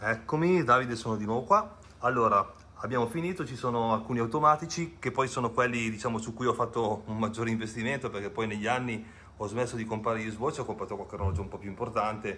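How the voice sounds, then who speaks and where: Bright and sharp in tone, a man at a medium pitch talks at a very fast pace. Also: ordinary pitch variation. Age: 50s. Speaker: watch collector. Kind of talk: casual video presentation. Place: home room. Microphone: video call.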